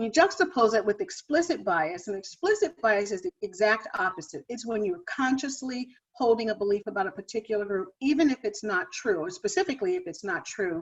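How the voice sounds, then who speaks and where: An American woman talks at a fairly quick pace with an American accent. Her fairly high voice swings very widely in pitch. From US Midwest, Ohio. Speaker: diversity and wellbeing speaker. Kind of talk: lecture.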